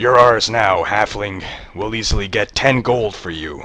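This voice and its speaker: A man puts on a raspy, guttural character voice at a fairly low pitch, with ordinary pitch variation and big swings in loudness. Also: moderate pace. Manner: menacing, mocking.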